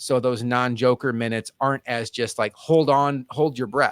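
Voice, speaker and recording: A man talks at a medium pitch and moderate pace in an unremarkable speaking voice. His intonation stays fairly even, and the sound is dry and close with no echo. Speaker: basketball podcast panelist. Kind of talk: casual sports analysis chat.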